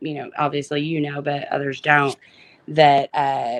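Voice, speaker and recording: A woman with an Arkansas accent. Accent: Arkansas country. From northwest Arkansas (Springdale). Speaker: guest. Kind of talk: casual chat.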